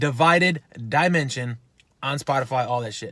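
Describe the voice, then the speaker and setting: Delivery comes at a moderate pace. Pitch varies in an ordinary way, and the tone is animated. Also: man. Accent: Chicago. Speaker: fitness YouTuber and rock band member. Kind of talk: casual vlog, gym bag show and tell. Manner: animated, profane.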